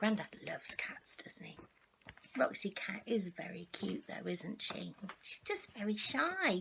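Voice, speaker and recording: Over noticeable background noise, a woman with a medium pitch speaks fairly slowly in a warm, playful tone. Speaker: storyteller grandmother. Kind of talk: children's story reading.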